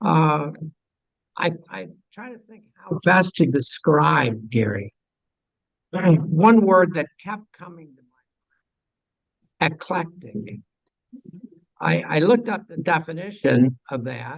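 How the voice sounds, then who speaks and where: Very slow and marked by long, frequent pauses, a man's fairly high voice with vocal fry shows very wide pitch swings and big swings in loudness. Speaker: astronomy club officer introducing speaker. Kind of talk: speaker introduction at club meeting. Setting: meeting room with audience and microphone. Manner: halting.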